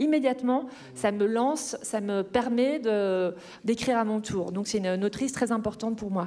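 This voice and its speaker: A woman's fairly high voice, dark and mellow in tone, at a fairly quick pace with ordinary pitch variation. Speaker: novelist. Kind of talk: author talk at a panel Q&A. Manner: hesitant, many filler sounds.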